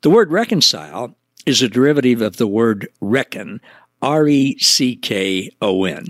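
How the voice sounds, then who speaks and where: Over a silent background in a very clean recording, a man with an American accent speaks at a fairly slow pace. His medium pitch makes very wide swings, and the sound is dry and close with no echo. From US Midwest, Missouri Ozarks. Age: 70s. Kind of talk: devotional teaching monologue.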